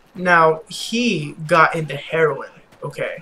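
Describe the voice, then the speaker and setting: This man's voice sits high in pitch with ordinary pitch variation. Noticeable background noise runs underneath. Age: 20s. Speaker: gaming youtuber. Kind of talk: casual gameplay commentary storytelling. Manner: stuttering a little; hesitant, many fillers.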